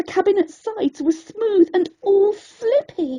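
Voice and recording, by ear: With an extremely high pitch, a dark, mellow tone and lively intonation, a woman speaks at a slow pace.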